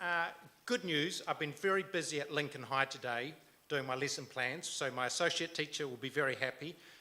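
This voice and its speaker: A man talks at a fairly quick pace with a New Zealand accent and ordinary pitch variation. His voice has fairly high pitch and a bright, sharp tone. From New Zealand, Canterbury (born Timaru, raised Christchurch). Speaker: local council candidate. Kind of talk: campaign speech. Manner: hesitant, many fillers.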